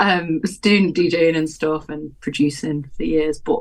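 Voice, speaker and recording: A woman with a Welsh accent, a very deep, low pitch and a moderate pace. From Wales. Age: 30s. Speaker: live techno artist and DJ. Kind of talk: casual chat.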